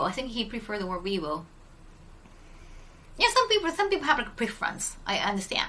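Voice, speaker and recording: A woman with a Japanese accent speaks in a bright, sharp tone at a fairly high pitch. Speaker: streamer. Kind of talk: casual chat. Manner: hesitant, many fillers.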